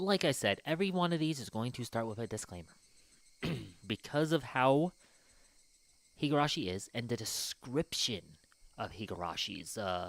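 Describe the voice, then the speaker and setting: Pausing long and often, a man at a medium pitch swings his pitch very widely. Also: moderate pace. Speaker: gaming streamer. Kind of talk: live stream commentary. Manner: casual, hesitant with fillers.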